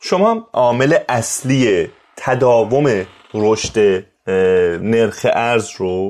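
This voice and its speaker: A man speaks at a medium pitch. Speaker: podcast host. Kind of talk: interview.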